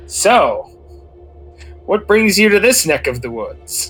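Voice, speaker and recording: A man uses a put-on, booming character voice at a fairly slow pace. Faint music plays in the background. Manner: booming, smarmy, glib.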